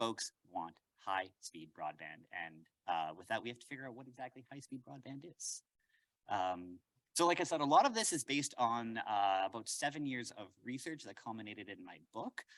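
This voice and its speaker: A man with a Canadian accent, medium-pitched, his pitch swinging very widely and his loudness rising and falling sharply, in a dry, close recording with no echo. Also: very clean recording, silent background. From Canada, Winnipeg. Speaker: professor. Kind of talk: lecture. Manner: fast; animated.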